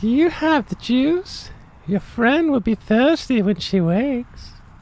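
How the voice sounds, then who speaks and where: Someone uses a put-on character voice with a fairly high pitch, talking at a fairly slow pace over light background noise. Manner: silly.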